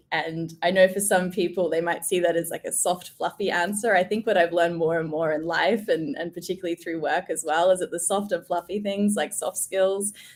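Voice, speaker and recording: With an Australian accent, a woman speaks in a fairly low voice, her intonation fairly even and hardly any pauses in between. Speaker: change management director. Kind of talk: casual interview chat.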